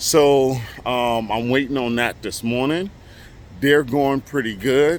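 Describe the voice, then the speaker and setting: An ordinary speaking voice at a moderate pace. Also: man. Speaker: construction contractor and vlogger. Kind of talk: casual vlog update.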